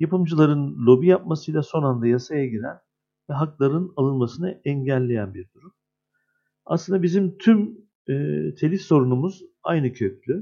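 A man with a dark, mellow tone and fairly high pitch speaks with lively intonation. His pace is moderate, with big swings in loudness. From Turkey, Adana. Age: 50s. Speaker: screenwriter and union head. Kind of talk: interview.

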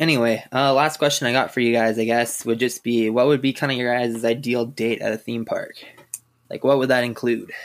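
In a Canadian Prairie accent, the speaker moves at a fairly quick pace with monotone, flat intonation. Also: man, medium pitch for a man. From Saskatchewan, Canada. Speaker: roller coaster enthusiast. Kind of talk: casual chat.

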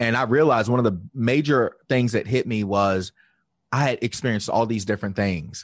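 Against a quiet background, a man talks in an ordinary speaking voice. His pitch is medium and his pace moderate. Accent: American. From Virginia, US South. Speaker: life coach. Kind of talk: interview.

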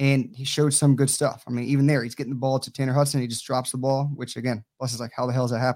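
With an American accent, a man speaks at a medium pitch. His intonation is monotone and flat. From Tampa, Florida. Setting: video call from home.

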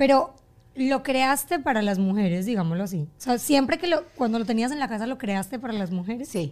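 A woman's fairly quick delivery with very wide pitch swings. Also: fairly high pitch for a woman. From Colombia. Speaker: podcast host. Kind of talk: casual chat.

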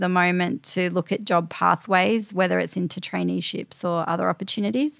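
A woman with an Australian accent and fairly even intonation. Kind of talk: interview.

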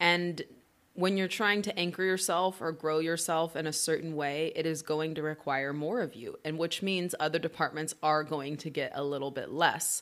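A plain, everyday voice: a woman with an American accent, fairly low pitch, fairly even intonation and a moderate pace. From Oklahoma. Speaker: business co-founder and actress. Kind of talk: casual interview chat.

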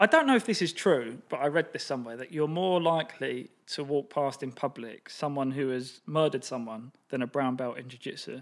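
This man has a normal speaking voice at a fairly high pitch, talking at a fairly quick pace with hardly any pauses and ordinary pitch variation, in a very clean recording with a silent background. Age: 30s. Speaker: marketing entrepreneur. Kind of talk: casual chat.

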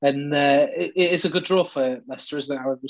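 Pitched fairly high, a man with an ordinary speaking voice talks with fairly even intonation. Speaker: podcast host. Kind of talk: casual chat. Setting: video call.

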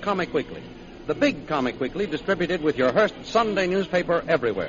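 Background noise is noticeable throughout. The words come at a fairly quick clip. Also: man. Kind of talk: old-time radio announcer narration. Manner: formal, crisp, steady, dramatic recap.

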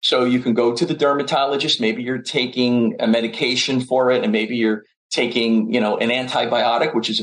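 At a moderate pace, a man talks at a medium pitch in a normal speaking voice. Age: 60s. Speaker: chiropractic physician and nutrition professor. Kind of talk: casual chat.

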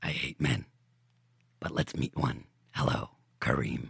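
A man's put-on character voice, raspy and very deep, low in pitch. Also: moderate pace. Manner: devilish, menacing, grinning.

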